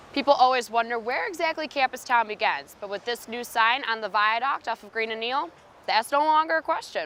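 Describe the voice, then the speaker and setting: A high-pitched woman in an American accent, her intonation lively. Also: fairly quick pace. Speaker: student TV news reporter and anchor. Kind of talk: field news reporter stand-up.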